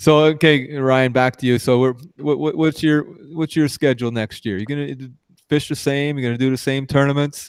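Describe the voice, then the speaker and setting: A man with an ordinary speaking voice talks at a fairly high pitch. His pace is fairly quick and his intonation fairly even. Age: 60s. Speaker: podcast host. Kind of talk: casual chat.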